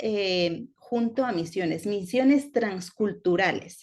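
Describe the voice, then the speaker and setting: This woman talks very slowly, her intonation lively. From Ecuador-born, raised in Spain. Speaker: teacher. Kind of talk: lecture.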